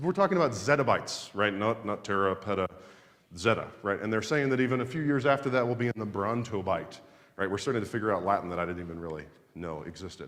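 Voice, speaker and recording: A man talks loudly at a very fast pace in an animated tone. His pitch swings very widely, and there is vocal fry. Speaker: systems engineer giving a conference talk. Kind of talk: conference presentation. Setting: stage with audience. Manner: fast, animated.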